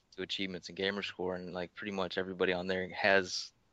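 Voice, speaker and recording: Talking at a very fast clip, a man with a fairly low pitch and a bright, sharp tone comes through against a quiet background. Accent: Tennessee. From US South, Tennessee. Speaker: record-holding gamer. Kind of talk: podcast interview. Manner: casual, repetitive.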